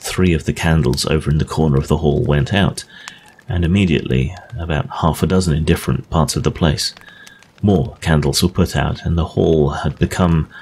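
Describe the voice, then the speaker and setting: With noticeable background noise behind him, a man with an English accent speaks at a moderate pace in a very deep, low pitch, with ordinary pitch variation and very even loudness. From England. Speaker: audiobook narrator. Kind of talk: ghost story reading.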